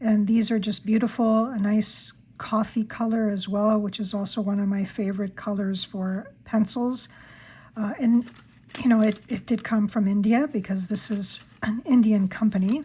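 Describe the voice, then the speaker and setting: A woman speaks at a moderate pace in a fairly high voice with a dark, mellow tone, a somewhat breathy quality and fairly even intonation. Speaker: stationery YouTuber. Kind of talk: product haul review. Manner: hesitant, with fillers.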